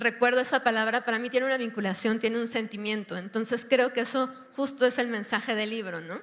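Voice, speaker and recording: Fairly quick and fairly high-pitched, a woman talks in an ordinary speaking voice. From Mexico City. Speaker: panel moderator. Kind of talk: panel discussion moderation.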